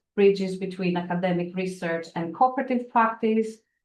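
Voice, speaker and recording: This woman's voice sits at a medium pitch. It varies in pitch in an ordinary way. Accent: non-native. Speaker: event chair. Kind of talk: lecture introduction. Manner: halting, many fillers.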